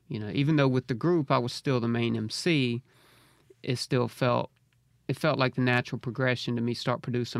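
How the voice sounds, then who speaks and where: A man's fairly even delivery in a Mississippi accent, with a dry, close sound and no echo. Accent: US Southern (Mississippi). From Mississippi (Braxton, rural central Mississippi). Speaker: hip hop artist. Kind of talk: interview. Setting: studio.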